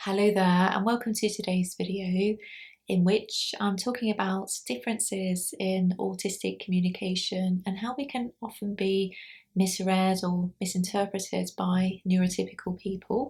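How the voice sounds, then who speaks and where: A woman's somewhat breathy voice sits at a medium pitch with fairly even intonation. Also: very clean recording, silent background. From UK, Scottish parents. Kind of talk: vlog monologue. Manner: slow; clear enunciation.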